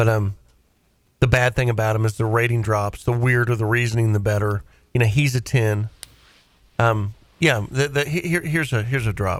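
Here a man speaks with a Southern US accent at a fairly quick pace. He leaves long, frequent pauses. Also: medium pitch for a man, ordinary pitch variation. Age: 40s. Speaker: radio host. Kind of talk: call-in show banter. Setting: studio.

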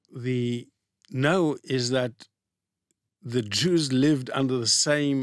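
The man's voice sits at medium pitch with ordinary pitch variation. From Israel. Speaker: economics professor. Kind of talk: interview.

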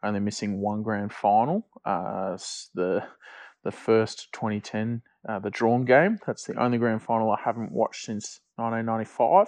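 A man with an Australian accent, medium in pitch, at a moderate pace with fairly even intonation, against a quiet background. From Victoria, Australia. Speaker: football fan. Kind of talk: recorded voice memo.

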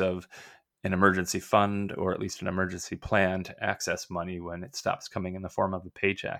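A fairly quick, fairly even delivery in an Upper Midwest accent, very cleanly recorded over a silent background. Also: man. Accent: Upper Midwest American. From US upper Midwest, Minnesota. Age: 40s. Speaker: retired physician and finance blogger. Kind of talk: casual interview.

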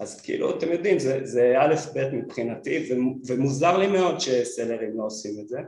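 Lively intonation marks a man's medium-pitched voice, moving at a moderate pace. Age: 40s. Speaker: product designer and brand founder. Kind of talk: interview. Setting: studio.

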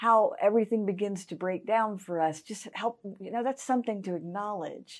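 A woman of medium pitch speaks with a Southern US accent and hardly any pauses. Her loudness swings widely while her pitch varies in an ordinary way. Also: moderate pace. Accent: Southern US (Georgia). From US South, Augusta, Georgia. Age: 50s. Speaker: pastor. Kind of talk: interview.

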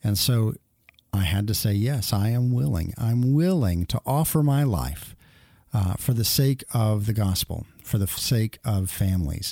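In a very clean recording with a silent background, a man with a fairly low pitch and a dark, mellow tone talks at a fairly slow pace, his intonation lively, his tone upbeat and his loudness very even. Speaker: radio host. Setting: studio. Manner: conversational, upbeat and self-deprecating, with frequent filler 'uh' and false starts.

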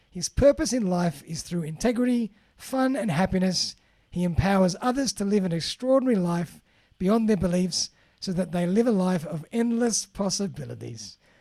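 This man has a high pitch and a dark, mellow tone, speaking at a moderate pace in an Australian accent with lively intonation. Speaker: podcast host. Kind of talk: interview. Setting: remote call.

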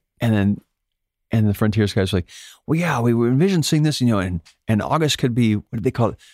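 With a dry, close sound and no echo, a man talks at a very fast pace with lively intonation, broken by long, frequent pauses. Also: medium pitch for a man, very clean recording, silent background. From Alaska, near Fairbanks. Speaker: touring guitarist and singer. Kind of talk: casual interview chat.

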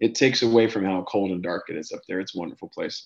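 Against a quiet background, the speaker talks with an American accent in a monotone, flat intonation. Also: man. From US East Coast, Dover, Delaware. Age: 30s. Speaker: hockey scout and coach. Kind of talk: interview.

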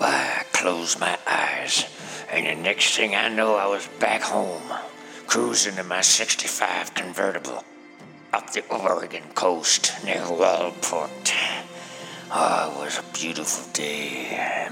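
A man with a very deep, low voice speaks at a fairly slow pace over clear background music. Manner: proud, rambling old man storytelling.

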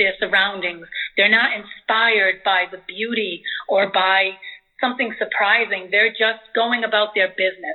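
A woman uses an ordinary speaking voice at a fairly high pitch. She talks fairly slowly with fairly even intonation. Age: 50s. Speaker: visual artist. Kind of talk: interview. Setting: phone call.

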